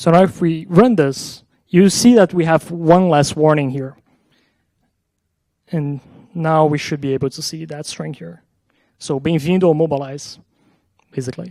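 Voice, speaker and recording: Captured in a very clean recording with a silent background, a man with a dark, mellow tone and fairly high pitch speaks at a moderate pace with ordinary pitch variation, big swings in loudness, and long, frequent pauses. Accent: Portuguese. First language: Portuguese. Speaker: software engineer. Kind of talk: conference talk with live coding demo.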